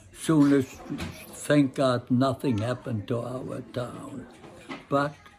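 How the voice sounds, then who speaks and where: With noticeable background noise behind him, a man of medium pitch speaks very slowly in a monotone, flat way. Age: 80s+. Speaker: Holocaust survivor. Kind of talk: interview answer.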